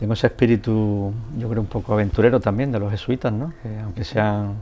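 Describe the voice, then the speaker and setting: A man's fairly low voice, fairly even in intonation, at a fairly quick pace. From Andalusia, Spain (El Puerto de Santa María, Cádiz). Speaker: photojournalist. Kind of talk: interview. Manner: hesitant, many fillers.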